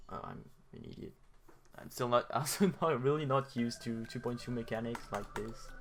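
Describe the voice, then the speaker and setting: A man at a medium pitch, moderate pace and ordinary pitch variation, with big swings in loudness. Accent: non-native. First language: not English. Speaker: gaming youtuber. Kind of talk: casual gameplay commentary. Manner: hesitant, many filler sounds; not very clear speech.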